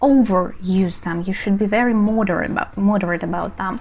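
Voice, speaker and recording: Medium-pitched woman's voice in a Russian accent. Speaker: language teacher. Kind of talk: tutorial.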